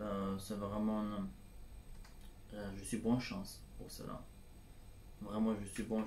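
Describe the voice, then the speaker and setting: With a Turkish accent, a man speaks in a fairly low pitch with a dark, mellow tone, and audible room echo surrounds his voice. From Turkey, Istanbul. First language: Turkish (speaking French). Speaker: civic service volunteer. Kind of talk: testimony. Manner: halting, many hesitations.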